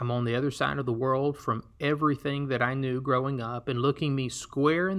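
A man speaks in an Alabama accent at a medium pitch. The background is quiet. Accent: Southern US (Alabama). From US South, Alabama. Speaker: podcast host and missionary. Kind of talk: solo podcast storytelling.

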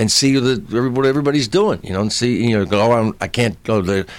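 An unremarkable speaking voice moves at a fairly quick pace with lively intonation on a very clean recording with a silent background. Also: man. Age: 60s. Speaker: comedian. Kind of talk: casual interview chat.

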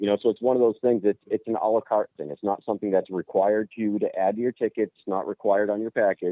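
Speaking very fast with hardly any pauses, a man with an American accent keeps his intonation fairly even. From New Hampshire, US.

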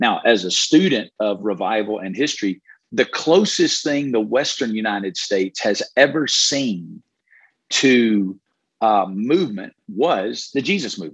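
A man speaks with a Southern US accent at a medium pitch. His pace is fairly slow and his intonation lively. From Alabama, US South. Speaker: pastor. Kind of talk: interview.

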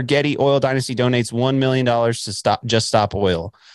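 A medium-pitched man with a Texan accent at a fairly quick pace, ordinary pitch variation, in a very clean recording with a silent background. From West Texas. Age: 20s. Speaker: podcaster and college teacher. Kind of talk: casual chat.

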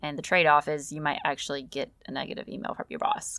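A woman talks very fast in a very deep, low voice with vocal fry, her tone upbeat, bright and sharp. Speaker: life coach podcast host. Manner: casual, chatty, upbeat, laughs often.

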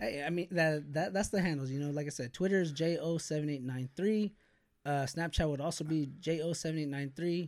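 On a very clean recording with a silent background, a man uses a normal speaking voice, fairly high in pitch with ordinary pitch variation. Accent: American. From US West Coast, Bakersfield, California. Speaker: YouTuber. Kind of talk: casual chat.

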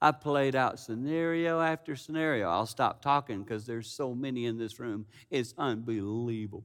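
Over a very clean recording with a silent background, a man speaks at a moderate pace with hardly any pauses. He has an ordinary speaking voice at medium pitch with ordinary pitch variation. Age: 50s. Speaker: preacher. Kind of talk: sermon.

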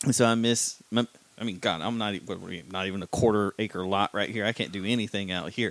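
A man speaks at a moderate pace in a normal speaking voice, his pitch fairly low and his intonation fairly even. The sound is dry and close with no echo, and the recording is very clean against a silent background. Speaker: podcast co-host. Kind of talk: casual interview.

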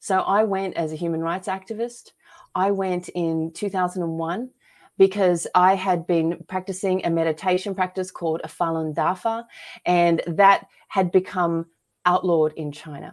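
Her Australian accent comes through at a moderate pace. The woman holds a medium pitch with fairly even intonation. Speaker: author and filmmaker. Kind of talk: casual interview chat.

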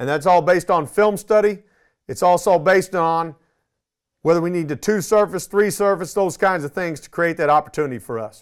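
Speaking at a fairly quick pace, a man with a high pitch and ordinary pitch variation makes big swings in loudness on a very clean recording with a silent background. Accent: Texan. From Texas, Arlington. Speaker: high school football coach. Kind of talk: coaching clinic presentation.

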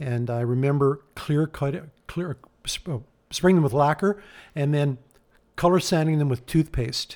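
Speaking at a fairly slow pace, a man leaves long, frequent pauses. His pitch is fairly high. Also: ordinary pitch variation. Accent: Canadian Prairie. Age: 60s. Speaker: hot rod builder. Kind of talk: interview.

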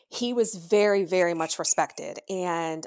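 A woman with an American accent, very slow pace, ordinary pitch variation, and a dry, close sound with no echo on a very clean recording with a silent background. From Pennsylvania. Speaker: grieving daughter, podcast guest. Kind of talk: personal testimony.

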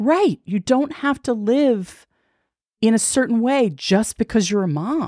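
On a very clean recording with a silent background, a woman with a fairly high pitch and a plain, everyday voice speaks at a fairly slow pace. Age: 50s. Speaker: podcaster and former TV executive. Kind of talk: casual interview chat.

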